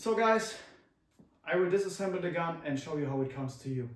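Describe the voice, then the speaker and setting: Somewhat breathy, a man speaks in a German accent. Audible room echo surrounds his voice. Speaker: airsoft youtuber. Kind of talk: product review. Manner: halting.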